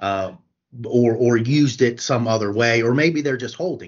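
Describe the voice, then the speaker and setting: A medium-pitched man in an American accent with ordinary pitch variation. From Morgantown, West Virginia. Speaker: staff attorney. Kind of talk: casual legal Q&A interview. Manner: hesitant, frequent fillers and repetitions.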